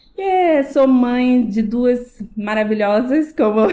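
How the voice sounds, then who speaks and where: In a high pitch with a dark, mellow tone, a woman talks at a very slow pace with ordinary pitch variation. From Rio de Janeiro, Brazil (Tijuca). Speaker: salon owner, businesswoman. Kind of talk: casual podcast interview.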